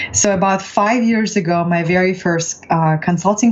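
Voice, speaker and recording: The speaker has a Russian accent and keeps a moderate pace with fairly even intonation. Background noise is noticeable. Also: woman. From Russia, Far East (Vladivostok). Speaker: transformational coach. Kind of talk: interview.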